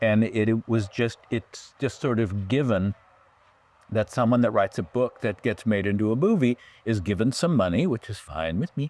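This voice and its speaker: A man with an American accent has a plain, everyday voice, medium pitch, ordinary pitch variation, and a moderate pace. The very clean recording has a silent background and a dry, close sound with no echo. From California. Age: 60s. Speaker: writer and producer. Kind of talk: interview conversation.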